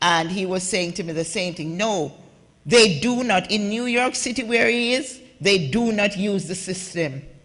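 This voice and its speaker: A woman with a Jamaican accent talks in an animated tone at a moderate pace, with ordinary pitch variation against a quiet background. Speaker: immigrant advocate and author, conference panelist. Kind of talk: conference talk. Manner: animated, impassioned.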